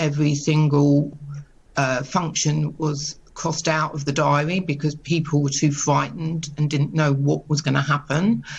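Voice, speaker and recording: A woman's very deep, low voice with vocal fry and monotone, flat intonation. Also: moderate pace. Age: 60s. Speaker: caterer, small business owner. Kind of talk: news interview.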